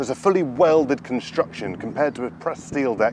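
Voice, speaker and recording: Noticeable noise sits behind a dry recording with no echo. A man speaks very fast with lively intonation. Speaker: presenter. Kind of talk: product walkaround presentation. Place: open country.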